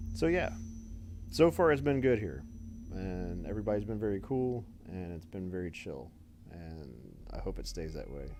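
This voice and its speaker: A man's fairly low voice at a moderate pace, with very wide pitch swings, big swings in loudness, long, frequent pauses and audible room echo. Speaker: game streamer. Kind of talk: casual chat.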